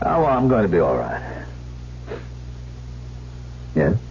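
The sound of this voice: Over clear background noise, a put-on character voice moves slowly with very wide pitch swings. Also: man, low pitch for a man.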